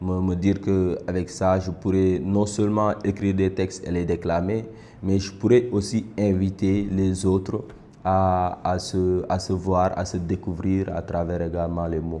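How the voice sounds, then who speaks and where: A man speaks at a very deep, low pitch in a dark, mellow tone. His pace is fairly slow and his intonation monotone and flat. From Senegal, Dakar. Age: 20s. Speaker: slam poet. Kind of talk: interview testimony. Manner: halting, repeats words.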